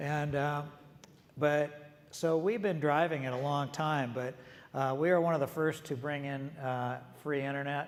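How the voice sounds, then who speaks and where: This man has an American accent and a fairly high pitch. He talks at a fairly slow pace with fairly even intonation, and room echo is audible. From US Pacific Northwest, Seattle. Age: 70s. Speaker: retired coffee company executive and author. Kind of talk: on-stage interview. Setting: conference stage with audience. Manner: conversational, with fillers and repetitions.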